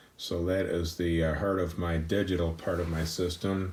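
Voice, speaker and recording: A man speaks in a very deep, low pitch that is somewhat breathy. His pace is fairly slow and his intonation fairly even. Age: 60s. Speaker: audiophile subscriber giving system tour. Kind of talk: casual home system tour. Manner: hesitant, with many fillers.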